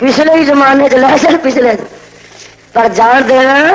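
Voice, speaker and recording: Against noticeable background noise, a man speaks in a passionate tone at an extremely high pitch. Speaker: Islamic scholar giving a sermon. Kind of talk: religious sermon to a live crowd, Punjabi-Urdu. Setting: outdoor or hall public gathering, 1980 archival recording. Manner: passionate, emphatic, commanding.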